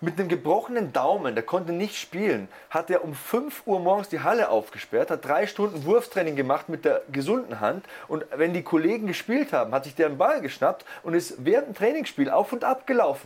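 The voice is animated, with very wide pitch swings and a fairly quick pace. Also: man, high pitch for a man. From Lower Bavaria, Germany. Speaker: sports commentator (wrestling and MMA). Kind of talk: casual podcast chat.

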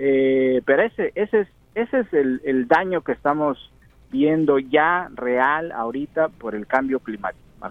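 Fairly high-pitched male voice with lively intonation at a fairly slow pace. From Mexico. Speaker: field reporter. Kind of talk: live remote report.

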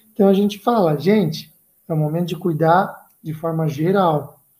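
A man's dark, mellow voice. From Santa Catarina, Brazil (Joinville). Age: 30s. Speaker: running group organizer. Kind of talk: casual chat.

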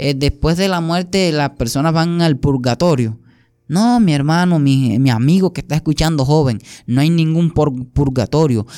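Over a silent background in a very clean recording, a man with a dark, mellow tone and fairly high pitch speaks at a fairly slow pace, with ordinary pitch variation and very even loudness. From Colombia, Sucre and Antioquia. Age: 20s. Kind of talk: testimony.

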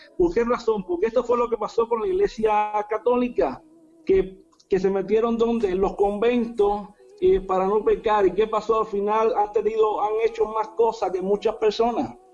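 Amid noticeable background noise, a man with a high pitch talks at a moderate pace, keeping very even loudness and ordinary pitch variation. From Cuba. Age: 40s. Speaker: apostle, preacher. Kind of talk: preaching in interview. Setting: video call from home.

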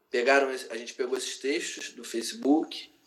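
Here is a man speaking. He has a Rio de Janeiro accent. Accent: Carioca Brazilian Portuguese. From Brazil, Rio de Janeiro. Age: 30s. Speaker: writer and cultural activist. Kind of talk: casual interview. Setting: remote call.

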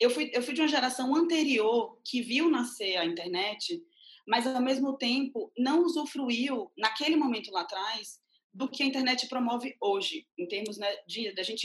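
Lively intonation marks a woman's high voice, which keeps a moderate pace. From Bahia, Brazil (Mundo Novo). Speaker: independent curator and art critic. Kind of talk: interview.

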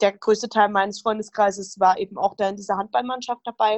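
Spoken at a fairly quick pace with fairly even intonation, this is an unremarkable speaking voice. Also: woman. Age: 20s. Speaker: rheumatism patient, retreat participant. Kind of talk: interview, personal testimony.

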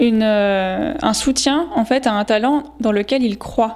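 A woman's voice, high in pitch, moves at a fairly slow pace. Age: 20s. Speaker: podcast host. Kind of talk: solo reflective monologue. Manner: casual, with frequent hesitations.

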